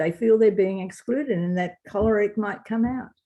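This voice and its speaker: With an Australian accent, a woman speaks at a fairly high pitch with ordinary pitch variation and a dark, mellow tone. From Australia, Wagga Wagga NSW. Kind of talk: interview.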